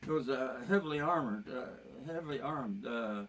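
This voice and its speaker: A man speaks with lively intonation at a fairly high pitch. Audible room echo surrounds his voice. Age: 90s. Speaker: elderly father. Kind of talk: casual chat. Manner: halting.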